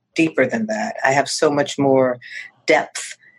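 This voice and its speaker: A normal speaking voice in an American accent, at a moderate pace with lively intonation. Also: woman. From US Northeast. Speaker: real estate agent. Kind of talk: interview.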